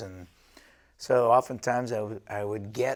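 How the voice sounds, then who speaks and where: This man speaks in an American accent at a moderate pace. His pitch is medium and his intonation fairly even. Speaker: high school football coach, teacher. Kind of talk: interview answer. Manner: soft-spoken, polite.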